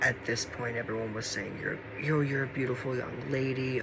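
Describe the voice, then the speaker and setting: Over noticeable background noise and audible room echo, a man with a medium pitch speaks at a moderate pace in a flat monotone. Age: 20s. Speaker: vlogger. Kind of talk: personal testimony.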